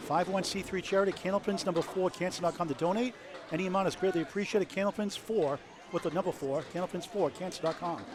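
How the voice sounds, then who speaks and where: Amid noticeable background noise, a man with a New England accent speaks very fast at a high pitch. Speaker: bowling commentator. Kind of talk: live commentary. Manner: animated.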